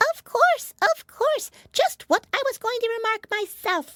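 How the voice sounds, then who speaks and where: In a put-on character voice, the speaker uses an extremely high pitch that is squeaky and hoarse, at a fairly slow pace. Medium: read story. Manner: sleepy.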